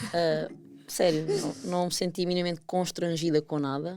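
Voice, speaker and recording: A woman with a European Portuguese accent speaks at a fairly quick pace in a dark, mellow tone with fairly even intonation. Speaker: podcast co-host. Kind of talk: casual chat.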